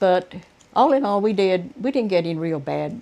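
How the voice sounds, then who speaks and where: Speaking with a Southern US accent, a woman has a medium pitch and lively intonation. Her tone is dark and mellow. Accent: Southern American. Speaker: oral history narrator. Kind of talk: interview answer.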